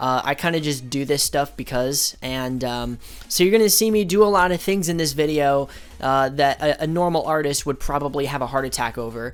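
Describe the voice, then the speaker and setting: This man's voice sits fairly high in pitch, with ordinary variation. He speaks at a fairly quick pace. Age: 20s. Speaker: youtuber, artist. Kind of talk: casual commentary over drawing. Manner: casual, hesitant with fillers.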